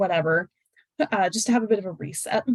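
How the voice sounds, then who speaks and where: In an American accent, a woman talks at a very fast pace. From United States. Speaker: high-scoring exam candidate giving tips. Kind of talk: webinar talk with Q&A. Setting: online webinar. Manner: casual, many fillers.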